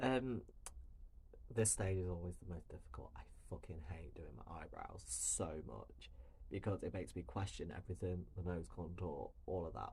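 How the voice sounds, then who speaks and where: Soft-spoken, a man with a British accent talks at a moderate pace. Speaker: drag queen and makeup creator. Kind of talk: makeup tutorial. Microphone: no microphone, hard to hear.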